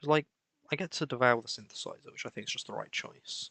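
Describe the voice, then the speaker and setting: This man has a fairly high pitch and a bright, sharp tone. Vocal fry runs through his voice. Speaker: game streamer. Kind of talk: live gameplay commentary. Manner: monotone.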